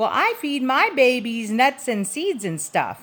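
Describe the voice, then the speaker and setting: In a high-pitched put-on character voice, a woman speaks at a fairly slow pace. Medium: read story.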